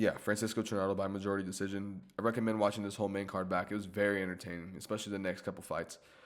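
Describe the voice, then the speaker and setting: A man speaks in a fairly low, monotone voice with flat intonation. He goes at a very fast pace with hardly any pauses. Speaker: YouTuber recapping fights. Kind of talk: casual commentary recap. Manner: casual, halting.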